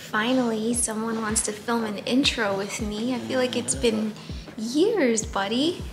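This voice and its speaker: Speaking at a fairly slow pace, a woman uses a fairly high pitch over noticeable background noise. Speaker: plant YouTuber. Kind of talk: casual talk to camera. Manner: somewhat monotonous. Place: home room.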